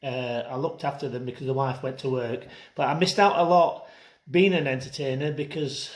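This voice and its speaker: A man's fairly high, somewhat breathy voice in a South Yorkshire accent, with fairly even intonation. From northern England, Rotherham, South Yorkshire. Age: 60s. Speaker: entertainer and singer. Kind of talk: personal testimony. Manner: casual, hesitant with fillers.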